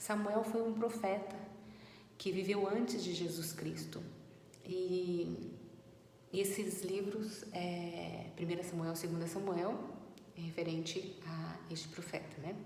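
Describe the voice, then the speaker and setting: Speaking very slowly with long, frequent pauses, a woman keeps a fairly even intonation at a fairly low pitch, with audible room echo and noticeable background noise. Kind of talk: Bible teaching talk. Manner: trying to speak louder; halting with fillers. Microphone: no microphone, voice too quiet.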